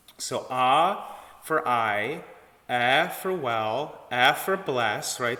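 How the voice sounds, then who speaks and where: This man talks at a medium pitch with a Midwestern accent. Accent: Midwestern flat a. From US Midwest. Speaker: choir director and vocal coach. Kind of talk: tutorial. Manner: casual, with many fillers.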